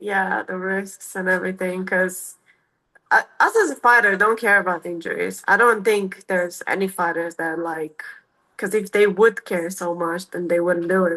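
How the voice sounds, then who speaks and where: A woman with a non-native accent speaks at a moderate pace and medium pitch. Her tone is bright and sharp, her intonation fairly even. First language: not English. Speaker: MMA fighter. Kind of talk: interview. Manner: halting.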